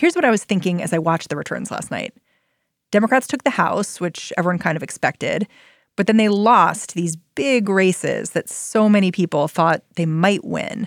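In a normal speaking voice, a woman talks at a moderate pace and a medium pitch with lively intonation. The very clean recording has a silent background and a dry, close sound with no echo. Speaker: podcast host. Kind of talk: news podcast narration and interview.

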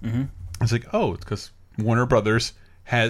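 The speech moves at a moderate pace in an unremarkable speaking voice. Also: man. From US South. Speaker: podcast host. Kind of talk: casual chat.

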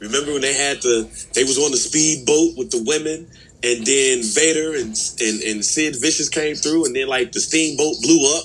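A man speaks at a fairly high pitch. He keeps a moderate pace with ordinary pitch variation. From Chicago, west side. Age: 30s. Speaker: wrestling podcast co-host. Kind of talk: casual chat.

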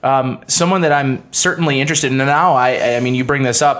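At a fairly quick pace, a man speaks in an unremarkable speaking voice with an American accent. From Buffalo area, western New York. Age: 20s. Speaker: radio host. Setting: studio.

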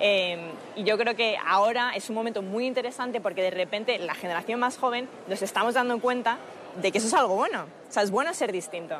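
A woman with a Madrid accent, fairly high in pitch with ordinary variation, at a fairly quick pace amid noticeable background noise. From Spain, Madrid. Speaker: political activist and former campaign staffer. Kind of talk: TV interview.

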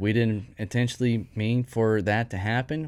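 A Texan accent on a very clean recording with a silent background. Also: man. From East Texas. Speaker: HVAC lead technician. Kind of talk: casual interview.

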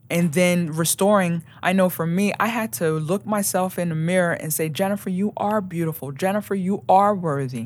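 A woman's fairly low-pitched, plain, everyday voice with an American accent, ordinary pitch variation and a moderate pace. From York, Pennsylvania. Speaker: navy veteran and motivational speaker. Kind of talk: testimony.

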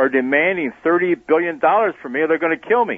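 Talking at a fairly quick pace, a man with an American accent uses lively intonation. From Wisconsin, US (Sheboygan). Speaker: former secret agent and businessman. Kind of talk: interview storytelling. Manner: halting.

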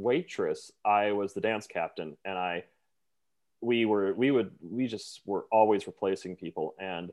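Speaking fairly slowly, a man has an unremarkable speaking voice. His pitch is fairly low, with ordinary variation. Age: 30s. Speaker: Broadway performer. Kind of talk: casual chat.

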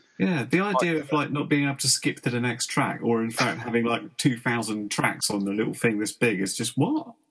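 Medium-pitched male voice, fairly quick pace with hardly any pauses, lively intonation, noticeable background noise. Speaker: drone hobbyist and co-host.

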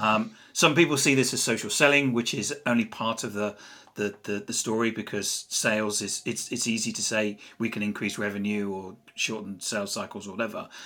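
A man with an English accent talks at a fairly quick pace in a medium pitch, his tone bright and sharp. His intonation is fairly even, on a very clean recording with a silent background. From England. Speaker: social selling author and CEO. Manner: halting, repeats words.

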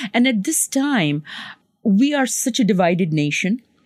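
A woman at medium pitch with very wide pitch swings and a fairly slow pace. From Pakistan. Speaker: physician and public health professor. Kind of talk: interview.

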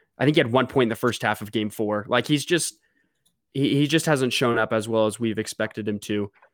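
A man's medium-pitched, fairly quick delivery with ordinary pitch variation, a plain, everyday voice, and a very clean recording against a silent background. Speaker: podcast host. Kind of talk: casual sports talk and interview.

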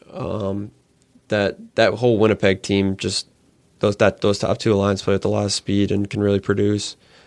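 This man's voice sits fairly low and stays monotone and flat. The sound is dry and close, without any echo. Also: moderate pace. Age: 20s. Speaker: hockey writer. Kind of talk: casual sports chat.

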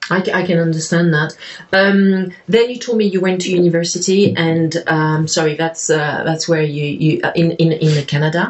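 Woman at a fairly low pitch and a moderate pace, with fairly even intonation amid noticeable background noise. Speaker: podcast host. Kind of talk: interview conversation.

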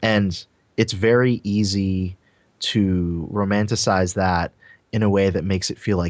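A man's very deep, low-pitched voice moves with ordinary pitch variation. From Trinidad, then US. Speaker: designer and YouTuber. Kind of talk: casual interview chat.

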